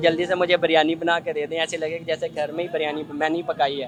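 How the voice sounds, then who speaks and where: Music in the background beneath a high-pitched male voice. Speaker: street interviewer, host. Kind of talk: interview questions.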